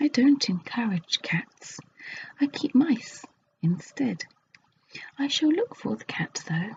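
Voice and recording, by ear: A put-on character voice speaks slowly with big pitch swings, vocal fry and a husky, rough edge. Its tone is slightly mellow. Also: woman, fairly high pitch for a woman.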